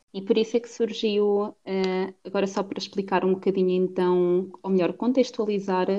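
A woman with a dark, mellow tone speaks at a medium pitch with fairly even intonation. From Portugal, Cantanhede (Coimbra district). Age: 20s. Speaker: podcast co-host. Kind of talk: casual chat. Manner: halting.

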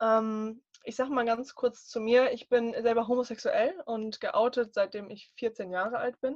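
A woman with an ordinary speaking voice and a fairly high pitch speaks at a fairly slow pace, her sound dry and close with no echo over a quiet background. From northern Germany. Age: 20s. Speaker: life coach. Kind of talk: casual interview chat.

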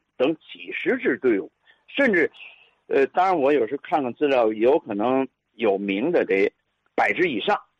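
The man talks at a fairly slow pace. He leaves long, frequent pauses. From Tianjin, China. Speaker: physical education teacher and listener. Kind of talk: storytelling reminiscence.

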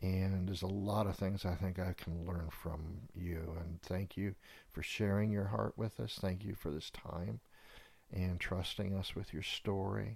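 A man's very deep, low voice, somewhat breathy, with fairly even intonation at a fairly slow pace, on a very clean recording with a silent background. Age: 60s. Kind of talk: casual chat with pastoral reflection.

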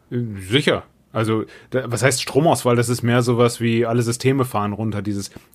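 Here a man has an unremarkable speaking voice at a medium pitch. He keeps a moderate pace and fairly even intonation. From Rhineland, Germany. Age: 30s. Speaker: actor and podcast co-host. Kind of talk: casual chat. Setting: remote recording.

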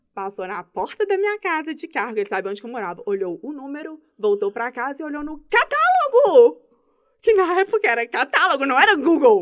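A woman speaks fairly quickly in a high voice. Her pitch swings very widely and her loudness rises and falls a great deal. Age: 30s. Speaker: public servant and mother. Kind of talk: casual interview chat. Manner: fast, talkative.

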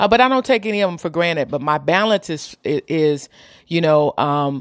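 A woman with a very deep, low pitch speaks in a dry, close sound with no echo. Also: very clean recording, silent background. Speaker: podcast host and community entertainer. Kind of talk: casual monologue to listeners. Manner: candid, blunt, sometimes loud.

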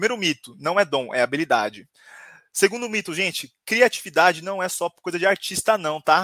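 Speaking at a moderate pace, a man with a high pitch and a bright, sharp tone sounds animated, his intonation lively, on a very clean recording with a silent background and a dry, close sound with no echo. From São Paulo, Brazil. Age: 20s. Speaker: HR professional and creativity speaker. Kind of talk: live-stream talk.

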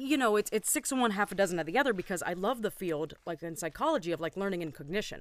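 In an animated tone, a woman talks very fast with very wide pitch swings. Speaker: former teacher, podcast co-host. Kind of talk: casual chat. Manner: animated, jokey.

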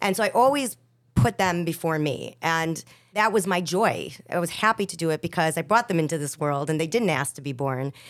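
A woman with an American accent speaks in a normal speaking voice, with lively intonation at a fairly quick pace. The recording is very clean, with a silent background. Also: fairly low pitch for a woman. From Chicago, West Rogers Park. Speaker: singer. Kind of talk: casual chat.

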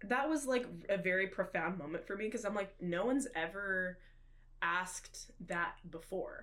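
A woman's unremarkable speaking voice with an American accent, medium in pitch, at a moderate pace with lively intonation. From Oklahoma, Tulsa area. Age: 20s. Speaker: drummer, college student. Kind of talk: casual chat.

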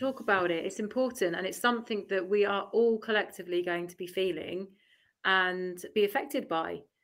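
A woman talks at a fairly quick pace in a normal speaking voice of medium pitch, with ordinary pitch variation. Her loudness swings widely. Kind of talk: casual live panel discussion. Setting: live stream, online.

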